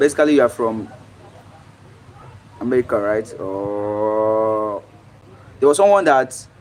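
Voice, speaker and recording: A speaker with a Nigerian accent talks at a fairly slow pace with ordinary pitch variation. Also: man. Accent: fluent English, Nigerian. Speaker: livestreamer. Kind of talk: casual chat. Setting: live stream.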